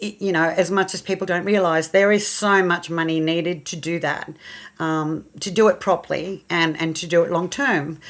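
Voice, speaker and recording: A woman's fairly low voice, with fairly even intonation, comes through on a very clean recording with a silent background. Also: moderate pace. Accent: Australian. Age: 60s. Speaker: horse rescue charity founder. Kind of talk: radio interview.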